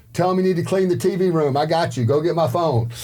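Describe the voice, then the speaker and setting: A loud man with a high-pitched voice, lively intonation and a fairly quick pace. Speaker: former prisoner turned salesperson. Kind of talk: casual chat. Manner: animated.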